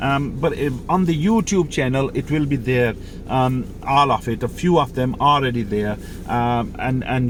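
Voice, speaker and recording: A man speaks at a medium pitch and a moderate pace. Noticeable background noise runs behind him. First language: Mirpuri or Urdu. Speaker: driving instructor. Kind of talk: tutorial. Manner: halting, many fillers.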